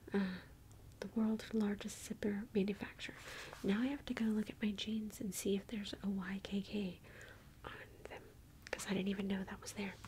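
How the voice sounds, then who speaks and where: Soft-spoken and gentle in tone, this voice has an American accent and a monotone, flat intonation. Long, frequent pauses sit over light background noise. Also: woman. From United States. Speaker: ASMR video creator reading facts. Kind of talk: whispered ASMR reading of trivia. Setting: home recording with book, tapping and page turning. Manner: soft-spoken, gentle, slow and intimate; playful, reacting with curious surprise.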